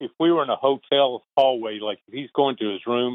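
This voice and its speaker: There's a man talking in a Southern accent. His pitch is medium and his pace moderate. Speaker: retired baseball traveling secretary. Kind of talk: interview.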